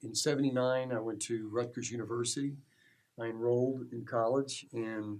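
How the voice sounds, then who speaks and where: The speaker has an American accent and a moderate pace. Intonation stays monotone and flat. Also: man, medium pitch for a man. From New Jersey, US. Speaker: small business owner. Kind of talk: personal life story. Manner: halting, with fillers.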